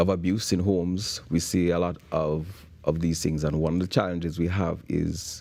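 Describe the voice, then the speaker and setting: A man with a Jamaican accent, very deep and low, dark and mellow in tone, at a moderate pace with fairly even intonation, on a very clean recording with a silent background. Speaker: bootcamp founder for young men. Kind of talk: morning show interview. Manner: hesitant, with repeated words.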